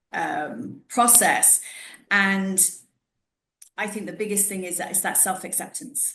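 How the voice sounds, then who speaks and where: In a room with audible echo, a woman speaks fairly slowly at a medium pitch with a bright, sharp tone, ordinary pitch variation, and big swings in loudness. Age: 40s. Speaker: podcast host, wellness professional. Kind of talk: casual interview chat. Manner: conversational, with false starts.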